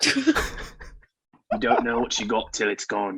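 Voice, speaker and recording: A man uses a put-on character voice that is raspy and medium in pitch. His pace is fairly slow. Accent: Australian. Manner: emotional, dramatic, poetic.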